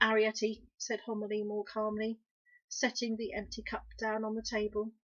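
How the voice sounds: The clip has a natural reading voice. The background is quiet.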